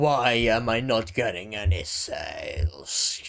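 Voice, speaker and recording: Speaking fairly slowly, a man puts on a raspy character voice at a medium pitch. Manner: frustrated, exasperated, whiny.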